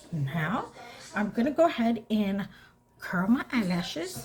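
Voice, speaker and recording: Against noticeable background noise, a woman with a fairly high pitch makes very wide pitch swings. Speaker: beauty vlogger. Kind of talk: makeup tutorial, casual chat. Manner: animated.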